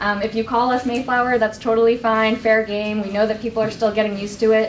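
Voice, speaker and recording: A woman speaks with monotone, flat intonation over light background noise. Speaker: presenter. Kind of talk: presentation to community meeting. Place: meeting room. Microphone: camera far.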